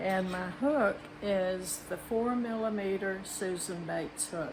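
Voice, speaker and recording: This woman speaks at a medium pitch in a Southern US accent. Noticeable background noise and audible room echo surround her. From Mississippi. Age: 80s+. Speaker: retiree craft and cooking vlogger. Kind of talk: tutorial. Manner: casual, chatty.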